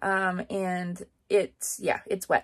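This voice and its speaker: The background stays quiet while a woman talks. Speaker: rodeo barrel racer vlogger. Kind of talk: casual vlog chat. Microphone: phone near.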